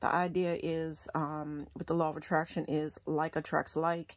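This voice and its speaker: On a very clean recording with a silent background, a woman speaks at a fairly low pitch. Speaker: law of attraction and tarot vlogger. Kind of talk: casual talk to camera. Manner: hesitant, frequent filler 'um'.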